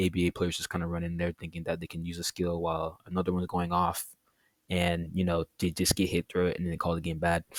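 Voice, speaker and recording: Over a silent background on a very clean recording, the speech runs at a very fast pace. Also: man, dry, close sound with no echo. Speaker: gaming YouTuber. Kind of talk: casual video commentary. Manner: halting, stuttering; casual, filler-heavy.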